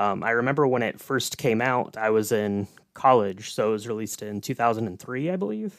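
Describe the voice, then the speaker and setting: In a very clean recording with a silent background, a man with a plain, everyday voice speaks at a fairly quick pace in a medium pitch with ordinary pitch variation. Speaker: podcast co-host. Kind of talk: casual chat.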